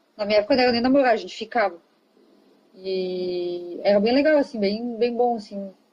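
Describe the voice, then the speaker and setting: A fairly high-pitched woman's voice, a normal speaking voice with ordinary pitch variation. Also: fairly quick pace. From southern Brazil, Rio Grande do Sul. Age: 30s. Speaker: interview guest. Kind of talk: casual interview.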